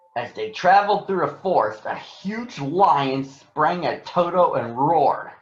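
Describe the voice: With audible room echo, a man speaks at a fairly slow pace in a fairly high voice with lively intonation.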